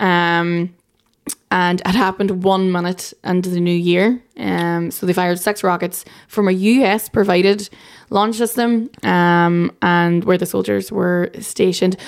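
A woman's medium-pitched voice in an Irish accent, fairly slow and with fairly even intonation, on a very clean recording with a silent background. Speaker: journalist. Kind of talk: casual chat.

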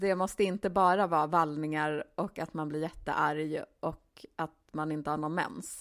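In an ordinary speaking voice, a woman talks at a fairly slow pace with hardly any pauses, a fairly low pitch and fairly even intonation, on a very clean recording with a silent background. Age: 40s. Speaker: podcast co-host, author. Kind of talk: casual chat.

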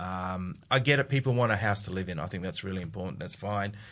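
A man with an Australian accent, very deep and low in pitch, against a quiet background. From South Australia, Adelaide. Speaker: investment fund executive. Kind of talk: casual chat.

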